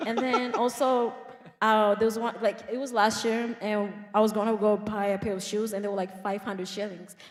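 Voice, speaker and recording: A woman speaks at a moderate pace and a fairly high pitch. Her intonation is monotone and flat, over noticeable background noise. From Kenya. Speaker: immigrant guest. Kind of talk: casual interview. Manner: talkative.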